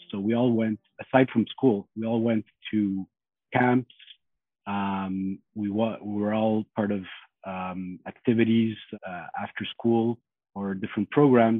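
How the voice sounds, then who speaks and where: At a fairly slow pace with long, frequent pauses, a man with a French accent speaks in a fairly low pitch and fairly even intonation. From Montreal. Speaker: lawyer. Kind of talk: family conversation.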